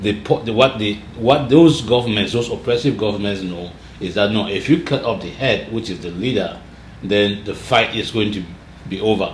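A man's fairly low pitch with audible room echo and light background noise. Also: ordinary pitch variation, moderate pace. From Cameroon (anglophone Southern Cameroons). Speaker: political activist leader; interview guest. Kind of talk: interview conversation. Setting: studio interview. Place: office.

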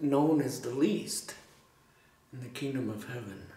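With audible room echo around him, a man speaks at a very slow pace. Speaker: preacher. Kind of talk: sermon. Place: church.

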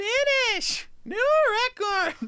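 An extremely high, squeaky voice put on as a character. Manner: loud, excited announcer.

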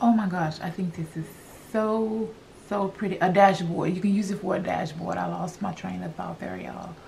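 A woman speaks with vocal fry, a slightly mellow tone and fairly even intonation.

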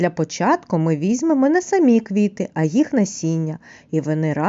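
Someone reads in a natural reading voice.

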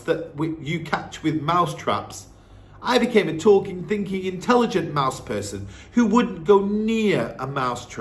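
The voice reads naturally. Its intonation moves in a lively way.

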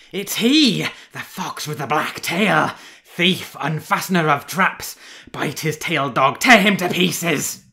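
A put-on character voice with a bright, sharp tone and vocal fry moves at a slow pace with few pauses and lively intonation. The recording is very clean, with a silent background.

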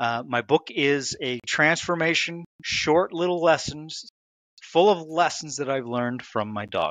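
Over a quiet background with a dry, echo-free sound, a man talks at a fairly slow pace in an American accent with ordinary pitch variation. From United States. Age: 50s. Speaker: author; podcast guest. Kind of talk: interview. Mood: reflective, earnest. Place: home room. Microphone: headset.

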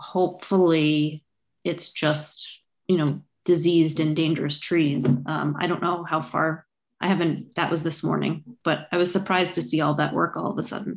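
Against a quiet background, a woman with a fairly low pitch talks at a moderate pace with fairly even intonation. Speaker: committee member. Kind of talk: public meeting discussion. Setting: video call. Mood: conversational, mildly surprised. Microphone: video call.

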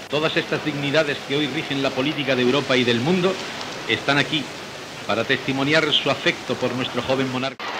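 Talking at a fairly quick pace with fairly even intonation, a man with a fairly high pitch is heard over noticeable background noise. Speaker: radio announcer. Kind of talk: ceremonial event commentary.

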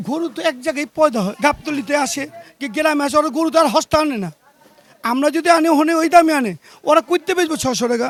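A man talks at an extremely high pitch with ordinary pitch variation. The sound is dry and close, with no echo. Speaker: butcher. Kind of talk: casual interview.

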